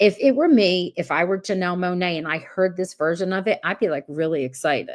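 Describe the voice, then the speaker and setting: A woman speaks at a moderate pace with a medium pitch. Her tone is animated and her intonation lively. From US Northeast, South Jersey. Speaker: podcast host. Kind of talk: casual livestream recap.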